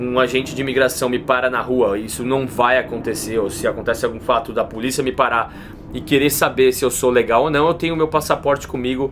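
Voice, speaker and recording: A man with a Brazilian accent talks at a fairly quick pace with fairly even intonation over noticeable background noise. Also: medium pitch for a man. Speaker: YouTuber. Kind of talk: casual vlog talk. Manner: informal, slangy.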